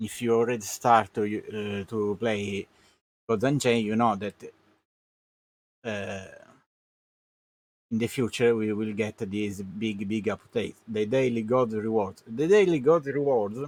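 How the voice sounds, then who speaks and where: A man with a non-native accent speaks at a fairly low pitch with fairly even intonation. His pace is fairly slow, with long, frequent pauses. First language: Italian. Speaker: gaming streamer. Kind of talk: live game commentary. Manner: halting, many fillers.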